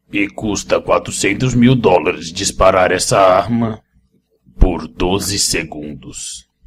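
In a put-on character voice, a man speaks with a menacing tone, a fairly low pitch and a fairly slow pace. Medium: dub. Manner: menacing, boastful.

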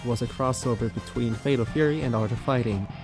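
With music in the background, a man speaks very fast at a medium pitch and with ordinary pitch variation. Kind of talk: fast-paced video game lore narration.

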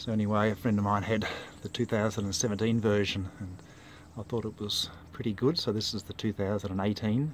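At a moderate pace and fairly low pitch, a man speaks with fairly even intonation in a dry sound with no echo, light background noise behind him. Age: 60s. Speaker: amateur mountain bike rider. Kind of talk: casual product review to camera. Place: street. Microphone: phone near.

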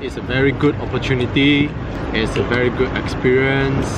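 A man's voice comes through dry and without echo, while loud background noise fills the clip. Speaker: vlogger. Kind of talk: casual vlog chat. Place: street. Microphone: phone near.

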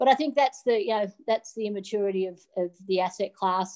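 Against a quiet background, a woman with an Australian accent speaks at a fairly quick pace with ordinary pitch variation. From Australia, rural New South Wales. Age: 50s. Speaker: digital asset regulation advisor, former derivatives trader. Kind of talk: interview. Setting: video call from a hotel room. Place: home room. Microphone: video call.

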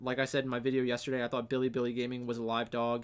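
A man talks at a very fast pace. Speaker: esports fantasy streamer. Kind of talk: commentary.

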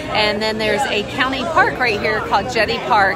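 Over music in the background, a woman talks with ordinary pitch variation in a dry sound with no echo. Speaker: vlogger. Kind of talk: casual vlog chat. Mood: excited, anticipating launch. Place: bar. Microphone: phone near.

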